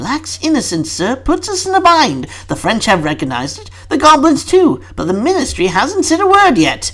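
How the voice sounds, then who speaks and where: A man uses a put-on character voice, extremely high in pitch, at a moderate pace with hardly any pauses. Light background noise is present. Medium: read story. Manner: polite, deferential, addresses the minister as sir.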